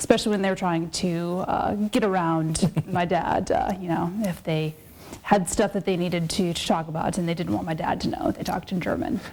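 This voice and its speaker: Over noticeable background noise, a woman with an Upper Midwest accent speaks at a fairly quick pace in a fairly low pitch with ordinary pitch variation. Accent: Upper Midwest American. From South Dakota (Sioux Falls). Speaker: political science academic. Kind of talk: interview.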